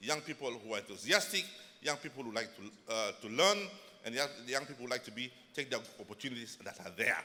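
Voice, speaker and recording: A man at a very fast pace, medium in pitch, with a bright, sharp tone and lively intonation. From Uganda. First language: Ugandan mother tongue. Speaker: government minister. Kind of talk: conference speech. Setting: stage at a lectern. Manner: halting.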